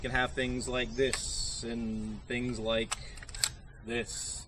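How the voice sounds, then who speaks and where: A man with an American accent, with noticeable background noise. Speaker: gun channel video blogger. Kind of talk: casual video log monologue. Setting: outdoors, sitting on a vehicle. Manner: halting, stuttering.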